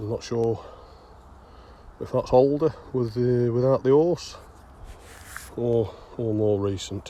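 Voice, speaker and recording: A man speaks with a strong Derbyshire accent. His pace is fairly slow, with ordinary pitch variation. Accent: broad Derbyshire. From England, Derbyshire. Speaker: bottle digger vlogger. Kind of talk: casual vlog narration. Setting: outdoors.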